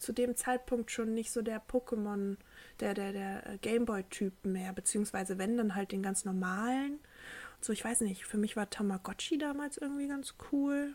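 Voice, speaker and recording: A woman speaks in a plain, everyday voice with fairly high pitch and ordinary pitch variation. Her pace is moderate. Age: 20s. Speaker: podcast co-host. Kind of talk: casual chat.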